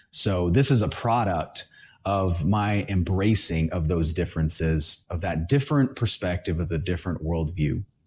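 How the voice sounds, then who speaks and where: A man with an American accent, a very deep, low voice, a somewhat breathy sound, ordinary pitch variation and a moderate pace, in a very clean recording with a silent background. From Honduras, raised partly in the US. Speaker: podcast host. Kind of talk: solo monologue podcast.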